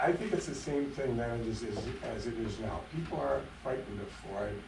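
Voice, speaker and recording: With noticeable background noise and audible room echo, a man speaks at a fairly quick pace using lively intonation. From Upper Michigan, US. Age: 70s. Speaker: retired pathologist, public commenter. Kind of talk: public comment at council meeting. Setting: city council meeting. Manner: halting.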